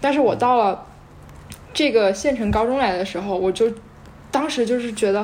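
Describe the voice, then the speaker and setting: A woman at a fairly high pitch and moderate pace, with noticeable background noise. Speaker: volunteer English teacher. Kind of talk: casual chat.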